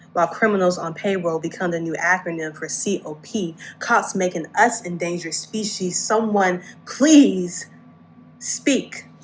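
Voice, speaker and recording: A woman with an ordinary speaking voice, a fairly low pitch, ordinary pitch variation, big swings in loudness and a fairly slow pace. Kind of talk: spoken word poetry performance.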